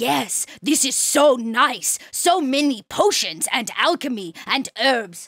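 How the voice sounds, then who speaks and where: A female-sounding voice puts on a high-pitched character voice. She talks at a fairly slow pace with hardly any pauses. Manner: delighted, admiring.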